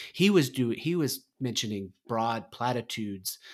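The recording is very clean, with a silent background. A man speaks at medium pitch in an ordinary speaking voice, with lively intonation. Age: 40s. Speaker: podcast co-host, former federal politics insider. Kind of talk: casual chat.

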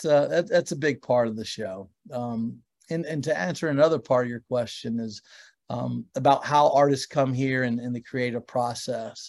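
A normal speaking voice from a man, moderate in pace, medium in pitch, with ordinary pitch variation. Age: 50s. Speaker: record label founder and producer. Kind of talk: casual interview chat.

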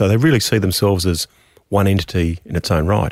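A man with an Australian accent talks at a fairly quick pace, fairly low in pitch with ordinary variation. The sound is dry and close, with no echo. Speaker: economist, podcast host. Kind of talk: interview.

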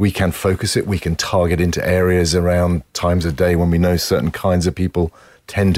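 In a British accent, a man speaks at a fairly quick pace. His pitch is very deep and low. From UK. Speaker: advertising executive. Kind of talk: interview. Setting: studio.

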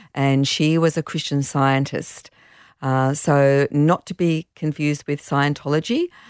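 In an Australian accent, a woman with a very deep, low pitch speaks at a fairly slow pace in a monotone, flat way, recorded very cleanly against a silent background with a dry, close sound and no echo. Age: 60s. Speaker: charity founder and hiking business owner. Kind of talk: casual chat.

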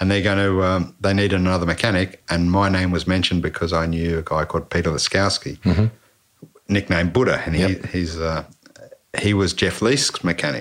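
A man's very deep, low voice with an Australian accent, at a fairly quick pace, with very even loudness and fairly even intonation. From Canberra, Australia. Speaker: former motorcycle racing mechanic. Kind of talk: casual interview chat. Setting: home podcast setup.

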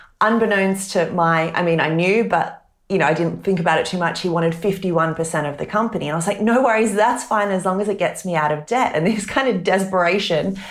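A woman with an Australian accent speaks at a fairly quick pace in a medium pitch, hardly pausing, with audible room echo. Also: ordinary pitch variation. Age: 30s. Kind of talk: interview.

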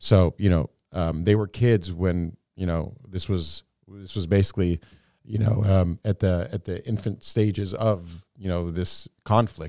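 In an American accent, a man speaks fairly slowly in a very deep, low, dark and mellow voice with fairly even intonation, recorded dry and close with no echo on a very clean recording with a silent background. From United States, Palestinian-American family. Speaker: podcast co-host. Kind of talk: casual discussion.

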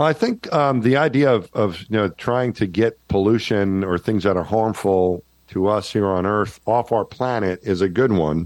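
A man with a slight New York accent speaks at a fairly low pitch and a moderate pace, with very even loudness and hardly any pauses. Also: ordinary pitch variation. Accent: slight Jersey-like New York. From New York, Long Island. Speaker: former astronaut. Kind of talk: casual interview. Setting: remote call, audio only.

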